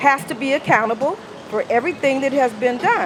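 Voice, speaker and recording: A high-pitched woman's voice amid noticeable background noise. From US South, Mississippi. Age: 60s. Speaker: former city employee. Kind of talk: rally speech. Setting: outdoor rally.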